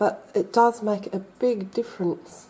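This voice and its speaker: With ordinary pitch variation, her medium-pitched voice carries a dark, mellow tone as this woman talks. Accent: Australian. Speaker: crafter. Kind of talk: tutorial. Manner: casual, chatty.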